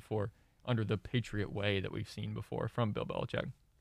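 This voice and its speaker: An American-accented man speaks at medium pitch with fairly even intonation and vocal fry. The recording is very clean, with a silent background. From central Illinois. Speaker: sports analyst, journalism student. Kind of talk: sports debate.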